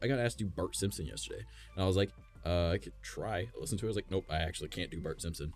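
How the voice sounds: A man rushes through his words very fast. Behind him there is music.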